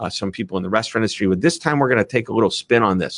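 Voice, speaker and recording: A man speaks with an animated, enthusiastic, bright and sharp tone. The sound is dry and close with no echo, over a quiet background. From US Midwest. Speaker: author and speaker. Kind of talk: interview conversation. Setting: video call.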